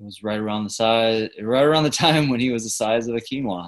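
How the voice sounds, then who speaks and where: Here a man talks at a medium pitch. He has a plain, everyday voice. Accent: American. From US South. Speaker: network engineer. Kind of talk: casual chat.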